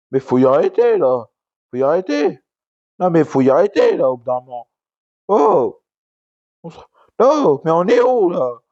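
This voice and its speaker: A loud man's high-pitched voice at a fairly slow pace, with very wide pitch swings and long, frequent pauses. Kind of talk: casual talk to camera, wrestling commentary rant. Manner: ranting, loud.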